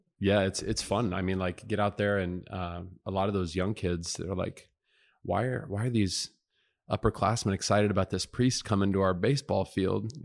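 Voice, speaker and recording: Speaking in an unremarkable speaking voice, a man keeps a fairly low pitch and fairly even intonation. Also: moderate pace, very clean recording, silent background. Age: 30s. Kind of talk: casual interview.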